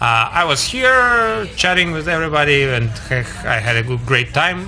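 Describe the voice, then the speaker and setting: A man with a Russian accent speaks at a moderate pace in a fairly high voice with lively intonation. Music plays in the background, and the room echo is audible. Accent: Russian accent, foreigner speaking English. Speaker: stand-up comedian. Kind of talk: casual chat. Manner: halting.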